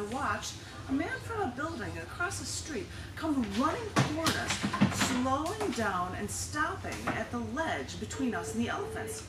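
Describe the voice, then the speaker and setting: A woman at a fairly slow pace amid loud background noise. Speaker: poet at a public reading. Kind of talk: poetry reading. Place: shop.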